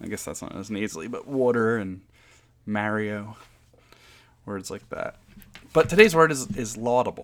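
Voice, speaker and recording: A man speaks with a New Jersey accent. Long, frequent pauses break up his speech. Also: medium pitch for a man, ordinary pitch variation, moderate pace. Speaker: podcast host, board game designer. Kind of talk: casual podcast monologue. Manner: casual with filler words and restarts.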